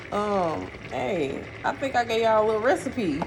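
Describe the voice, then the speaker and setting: Over noticeable background noise, a woman with an American accent speaks at a fairly high pitch with very wide pitch swings. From St. Louis, Missouri (US Midwest). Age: 30s. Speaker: vlogger. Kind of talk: casual vlog chat while cooking. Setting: kitchen.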